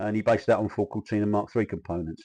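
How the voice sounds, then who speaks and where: A man speaks in a South London accent with a dark, mellow tone. His fairly low voice keeps fairly even intonation. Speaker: kit car industry insider. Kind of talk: casual historical talk. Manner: halting, many fillers.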